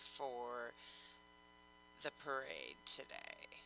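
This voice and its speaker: A woman speaks with music in the background. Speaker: show host. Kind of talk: casual chat. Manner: slow.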